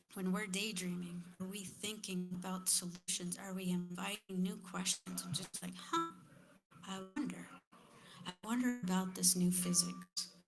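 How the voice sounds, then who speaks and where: At a moderate pace, a woman with a medium-pitched, somewhat breathy voice speaks in a monotone, flat intonation. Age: 50s. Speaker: panelist at community forum. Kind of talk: panel discussion.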